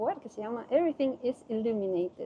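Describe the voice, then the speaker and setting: This woman speaks with a fairly high pitch in a coastal Ecuadorian accent. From Ecuador, Guayaquil (coast). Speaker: Spanish teacher, expat interviewee. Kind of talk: interview.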